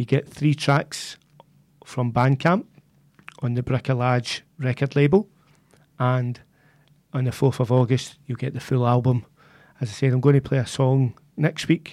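In a Glaswegian accent, a man talks at medium pitch and a fairly slow pace with long, frequent pauses and fairly even intonation, the sound dry and close with no echo. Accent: Glaswegian Scottish. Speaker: community radio DJ. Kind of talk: music radio presenting. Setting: radio studio.

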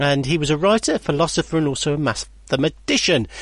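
A man with an animated tone and ordinary pitch variation. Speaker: local radio presenter. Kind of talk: radio DJ patter: chatty, jokey presenter links between songs, reading listener emails. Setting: local radio studio. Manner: animated, chummy and bantering, laughing at his own jokes; relaxed, casual, with fillers and self-interruptions.

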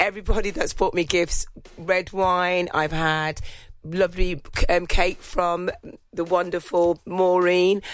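In a very clean recording with a silent background, a woman speaks at a fairly low pitch with monotone, flat intonation. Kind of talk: radio DJ patter: a warm, festive holiday greeting with thank-yous to listeners. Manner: cheery, warm and jolly, sprinkling in a playful "ho, ho, ho".

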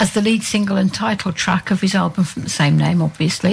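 A woman speaks in a medium pitch, somewhat breathy. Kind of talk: radio DJ patter, chatty song back-announcing between tracks.

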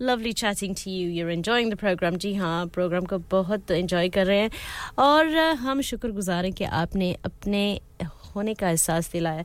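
A woman speaks in a plain, everyday voice at a medium pitch. The recording is very clean, with a silent background. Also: lively intonation, moderate pace. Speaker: radio host. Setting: studio.

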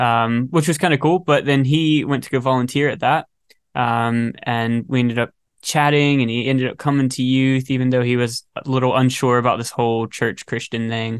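In a quiet background, a man with an American accent speaks at a moderate pace and medium pitch with fairly even intonation, in a plain, everyday voice. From North Carolina, US South. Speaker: singer and guitarist. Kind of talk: casual chat.

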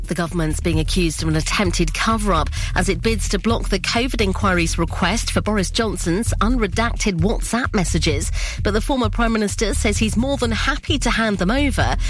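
A woman at a fairly quick pace, at very even loudness, amid noticeable background noise. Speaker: radio newsreader. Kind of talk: news reading.

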